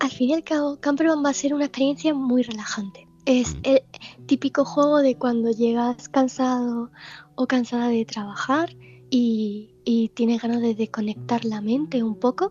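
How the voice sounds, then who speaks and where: With noticeable background noise, a woman speaks at a high pitch with ordinary pitch variation. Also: moderate pace. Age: 20s. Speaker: video game developer. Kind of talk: interview. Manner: halting.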